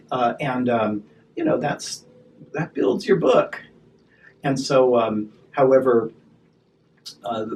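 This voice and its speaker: A man is speaking. His pace is fairly slow. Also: long, frequent pauses. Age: 60s. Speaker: esthetician and spa business owner. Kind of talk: interview conversation. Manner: halting, frequent repetitions.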